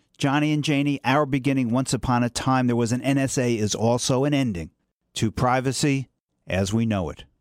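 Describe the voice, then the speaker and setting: A man has a normal speaking voice at medium pitch, with ordinary pitch variation and a fairly quick pace. The recording is very clean, with a silent background, and the sound is dry and close with no echo. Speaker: attorney narrator. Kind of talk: scripted satirical bedtime story.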